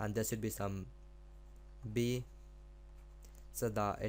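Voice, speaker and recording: Intonation stays fairly even while the speech moves along at a moderate pace. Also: man. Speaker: math tutor. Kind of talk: tutorial. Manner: halting.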